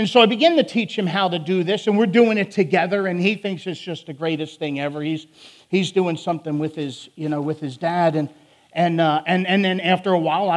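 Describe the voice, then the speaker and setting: In a very clean recording with a silent background, a man with a Philadelphia accent speaks at a moderate pace in a high pitch, with ordinary pitch variation and hardly any pauses. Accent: Philadelphia, northern US. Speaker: prison ministry preacher. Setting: church sermon. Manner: loud, emotional.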